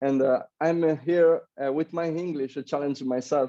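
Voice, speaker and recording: A man speaks with a fairly high pitch and a dark, mellow tone, with an Italian accent. His intonation stays monotone and flat. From Italy. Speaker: Olympic athlete. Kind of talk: interview. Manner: halting, many fillers.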